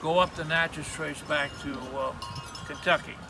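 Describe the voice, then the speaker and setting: Fairly high-pitched man's voice at a fairly slow pace, fairly even in intonation, amid noticeable background noise. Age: 80s+. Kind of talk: interview answer. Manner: hesitant, rambling.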